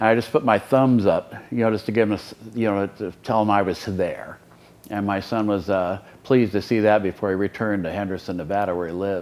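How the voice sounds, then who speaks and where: With an American accent, a man speaks very fast at a fairly low pitch, his intonation fairly even. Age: 60s. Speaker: patient giving a testimonial. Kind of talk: testimony. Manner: halting, many fillers.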